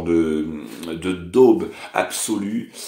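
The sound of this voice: The man speaks in a dark, mellow tone.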